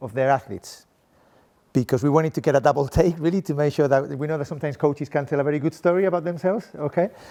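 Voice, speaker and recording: There is a man speaking with a Spanish accent. His tone is dark and mellow, and the background is quiet. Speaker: sport coaching professor. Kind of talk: conference presentation. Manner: animated.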